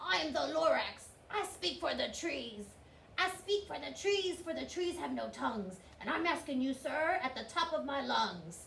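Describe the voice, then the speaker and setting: A put-on character voice shouting at a high pitch and a moderate pace, over clear background noise. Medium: read story. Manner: shouting, puffing.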